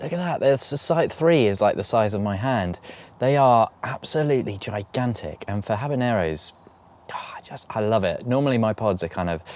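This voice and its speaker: With a British accent, the speaker moves at a fairly quick pace with lively intonation. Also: man, medium pitch for a man. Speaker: allotment gardening vlogger. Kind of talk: casual vlog talk to camera. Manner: halting, stuttering.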